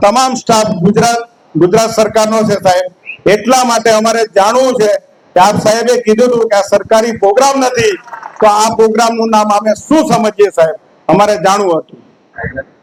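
A man's high-pitched voice with fairly even intonation, amid noticeable background noise. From Jhagadia, Bharuch, Gujarat, India. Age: 40s. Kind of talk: public hearing speech. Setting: public hearing with crowd. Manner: impassioned.

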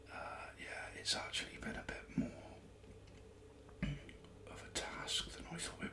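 A man speaks in a whisper. His pace is fairly slow. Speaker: ASMR creator. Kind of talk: casual ASMR ramble to camera. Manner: whispered. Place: home room. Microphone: studio mic.

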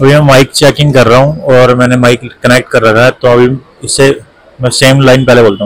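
A man talks at a fairly quick pace and a medium pitch. His intonation stays fairly even.

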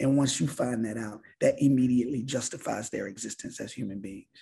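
With a Baltimore accent, a man talks at a fairly quick pace with ordinary pitch variation. His tone is dark, mellow and somewhat breathy. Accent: Baltimore American English. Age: 50s. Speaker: visual artist; guest. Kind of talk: artist talk. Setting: video call. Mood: reflective, warm. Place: home room. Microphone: video call.

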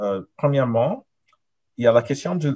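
Somewhat breathy, a man speaks in a dark, mellow tone. The background is quiet. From Nigeria and Canada. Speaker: professor. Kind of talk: academic thesis defense presentation. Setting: video call. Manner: hesitant, many fillers. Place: home room. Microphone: webcam.

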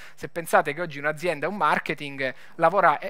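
Talking at a very fast pace, a man has a Lombard accent and a fairly high pitch. His tone is bright and sharp, with ordinary pitch variation. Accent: Bergamo. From northern Italy, Bergamo; Italy. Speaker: tech startup founder. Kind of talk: conference talk. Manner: hesitant, many fillers. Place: stage. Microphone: headset.

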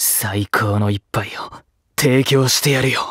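In a put-on character voice, a man sounds raspy at a medium pitch, with fairly even intonation and a fairly slow pace, recorded dry and close with no echo. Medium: dub. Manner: brusque, irritable.

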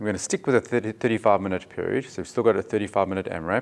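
A man is speaking. He goes at a fairly quick pace. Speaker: fitness coach. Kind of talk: tutorial. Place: gym.

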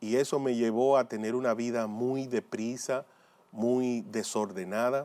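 Fairly even in intonation, a man of medium pitch with a dark, mellow tone speaks at a fairly slow pace. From Dominican Republic. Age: 40s. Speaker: lay preacher and former motivational speaker. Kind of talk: religious testimony. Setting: pre-recorded video. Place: studio. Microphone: lapel.

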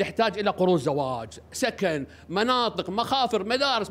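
In a Kuwaiti accent, a man speaks in an animated tone with lively intonation. His tone is bright and sharp. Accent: Kuwaiti Gulf Arabic. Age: 60s. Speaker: parliamentary candidate. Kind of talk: press statement. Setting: press conference. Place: hall. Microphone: podium.

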